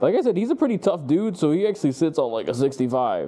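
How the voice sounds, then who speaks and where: Over noticeable background noise, a man speaks in an animated tone with lively intonation. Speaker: dog trainer. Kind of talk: instructional session with clients. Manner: fast.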